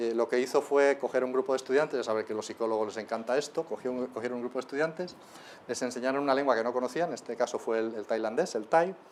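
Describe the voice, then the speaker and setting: Very fast, a man speaks at a medium pitch. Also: ordinary pitch variation. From Spain. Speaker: linguistics lecturer. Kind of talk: lecture. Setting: lecture hall with live audience. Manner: animated.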